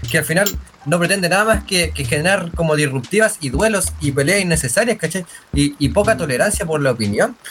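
A man speaks with a Chilean accent at a fairly quick pace, his pitch fairly high and his intonation lively. Music plays in the background. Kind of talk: casual chat.

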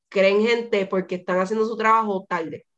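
An ordinary speaking voice, a woman at medium pitch and a fairly quick pace. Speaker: podcast host. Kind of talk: casual chat.

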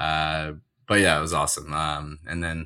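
The recording is very clean, the background silent, as a man talks at a moderate pace. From Ontario, Canada. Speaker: dentist, podcast co-host. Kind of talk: casual interview conversation.

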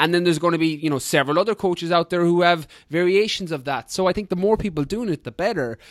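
Speaking very fast with hardly any pauses, a man uses a high pitch and ordinary pitch variation, the sound dry and close with no echo. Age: 30s. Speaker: fitness coach and ultra runner. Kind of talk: casual interview chat. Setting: video call.

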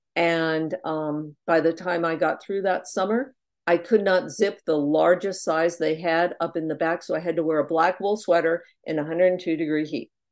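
Against a quiet background, a woman with an unremarkable speaking voice talks at a moderate pace and a fairly low pitch with fairly even intonation. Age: 60s. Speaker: twelve-step speaker. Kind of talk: testimony. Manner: casual, with many fillers.

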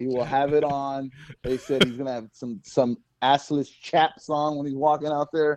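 An ordinary speaking voice moves at a moderate pace with fairly even intonation, dry and close with no echo. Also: man, fairly high pitch for a man. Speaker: guest co-panelist. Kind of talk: casual banter podcast.

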